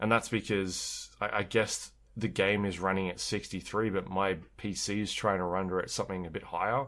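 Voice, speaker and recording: In a very clean recording with a silent background, a man with a normal speaking voice and fairly low pitch speaks at a moderate pace with fairly even intonation. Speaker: podcast host. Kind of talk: casual chat.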